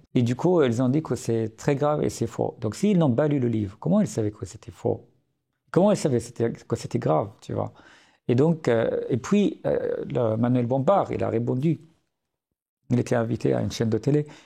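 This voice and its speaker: A man with an Arabic accent speaks at a moderate pace in a medium pitch, his dark, mellow tone carrying vocal fry, lively intonation and big swings in loudness, against a quiet background. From Syria. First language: Arabic (speaking French). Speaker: writer and journalist. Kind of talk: podcast interview. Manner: hesitant, many fillers.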